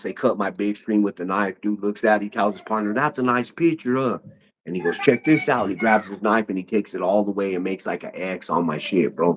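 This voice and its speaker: A man has a normal speaking voice, fairly low in pitch, with ordinary pitch variation. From US West, North Denver, Colorado. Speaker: YouTuber, podcast guest. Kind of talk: casual chat, storytelling.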